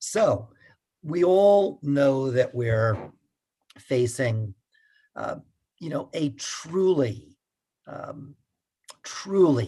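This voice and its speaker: Speaking very slowly with long, frequent pauses, a man with an American accent has a medium pitch, lively intonation, a dark, mellow tone and a somewhat breathy quality. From United States. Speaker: pastor and climate activist. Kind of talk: talk. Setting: video call. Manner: halting.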